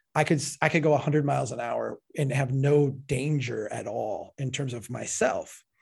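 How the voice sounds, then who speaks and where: An animated, somewhat breathy male voice with an American accent, fairly high in pitch, with ordinary pitch variation at a moderate pace, on a very clean recording with a silent background. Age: 40s. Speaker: civil engineer and author. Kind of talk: interview. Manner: animated, frequent self-repetitions.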